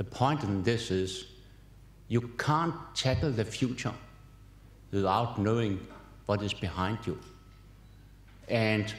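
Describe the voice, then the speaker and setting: This man speaks at a fairly slow pace in a fairly low, somewhat breathy voice with ordinary pitch variation. Room echo is audible. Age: 70s. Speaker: professor. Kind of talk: keynote lecture. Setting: conference hall with audience.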